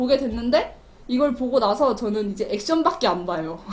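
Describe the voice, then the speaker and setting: A woman speaks at a moderate pace in a high pitch. Her tone is animated and her intonation lively. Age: young. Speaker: community TV film review host. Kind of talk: film review monologue.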